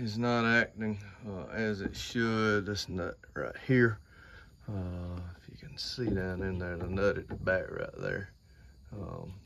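Over light background noise, a man with a bright, sharp tone speaks at a fairly slow pace with ordinary pitch variation. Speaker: hobby tractor restorer. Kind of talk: casual vlog chat. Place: farm machine. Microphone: phone near.

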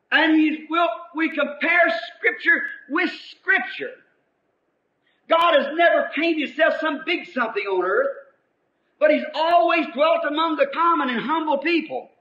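A man with an extremely high pitch uses a raised, projected voice with a bright, sharp tone. He talks at a fairly slow pace with ordinary pitch variation and long, frequent pauses. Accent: American. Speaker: preacher. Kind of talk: sermon preaching to congregation.

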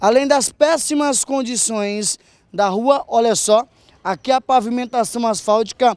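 A high-pitched male voice with ordinary pitch variation and a dry, close sound with no echo. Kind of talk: street reporter standup piece, on-location news report. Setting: outdoors on a street. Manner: earnest, brisk, point-by-point, directing viewers to look at things.

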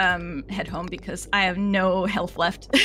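Against noticeable background noise, a woman speaks at a fairly slow pace and a medium pitch. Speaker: video game streamer. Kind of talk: casual gaming livestream chat.

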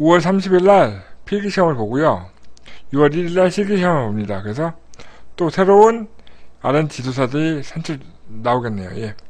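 The voice moves at a moderate pace with very wide pitch swings and long, frequent pauses. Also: man, fairly high pitch for a man. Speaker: live streamer host. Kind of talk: live stream news briefing, casual chat. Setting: live online broadcast. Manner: animated, chatty.

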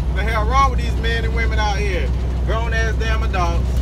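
A man talks while loud noise fills the background. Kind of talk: casual vlog rant. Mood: exasperated, ranting. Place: car.

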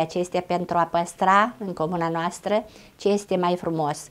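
A woman speaks in a fairly low voice at a fairly slow pace. Her intonation is monotone and flat. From Romania, Bukovina (Suceava county); Bukovina, Romania. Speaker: schoolteacher and folk ensemble leader. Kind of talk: interview. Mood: warm, proud. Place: home room.

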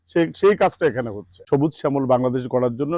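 Lively intonation in a man's voice of medium pitch. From Bangladesh, Naogaon (Porsha). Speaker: farm owner buying seedlings. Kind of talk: customer testimonial interview. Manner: formal.

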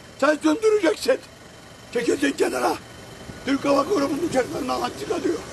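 Noticeable noise runs through the background. This man's delivery is moderately paced. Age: 70s. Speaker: local resident. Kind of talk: angry street interview. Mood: angry and desperate. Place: street.

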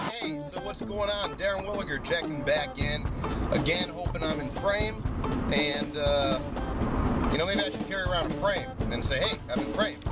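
A man speaks with a dry sound and no echo. Loud music plays behind him. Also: moderate pace. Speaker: business vlogger. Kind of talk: casual vlog chat. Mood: jokey, relaxed. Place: car. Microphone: phone near.

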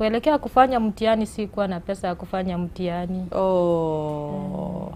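Against light background noise, a woman with a dark, mellow tone and medium pitch talks fairly slowly with ordinary pitch variation, big swings in loudness and hardly any pauses. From western Kenya, Vihiga; Kenya. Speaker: mother seeking help for sick child; guest. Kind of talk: TV interview testimony. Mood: sad, pleading. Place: studio. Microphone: lapel.

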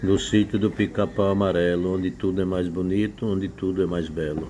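Light background noise sits behind a man with a very deep, low pitch. He talks at a fairly slow pace with fairly even intonation. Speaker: rural channel host. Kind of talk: casual vlog chat. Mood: proud, cheerful. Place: home room. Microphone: phone near.

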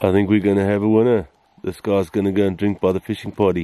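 A fairly low, dark, mellow male voice in a dry sound with no echo. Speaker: safari guide filmmaker. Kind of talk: wildlife commentary. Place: open country. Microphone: phone near.

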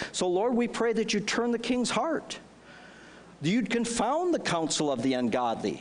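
Speaking at a moderate pace with an American accent, a man uses a high pitch that swings very widely. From US Midwest, northern Wisconsin. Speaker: pastor. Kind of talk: fervent intercessory prayer rising into exhortation. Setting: church with congregation. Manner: impassioned, pleading and insistent, repeating demands; conversational, with frequent fillers and restarts. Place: church. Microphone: headset.

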